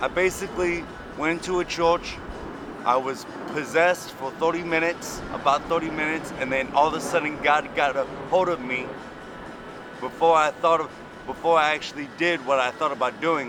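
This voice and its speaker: A man with fairly high pitch and fairly even intonation at a moderate pace, with music in the background. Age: 30s. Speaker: homeless former prisoner telling his story. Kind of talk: street interview.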